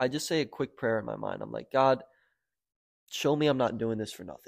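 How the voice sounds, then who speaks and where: A man at a medium pitch, his pitch varying in an ordinary way, is heard on a very clean recording with a silent background. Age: 20s. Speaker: online marketing agency owner, entrepreneur. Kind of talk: casual chat. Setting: in-person studio podcast.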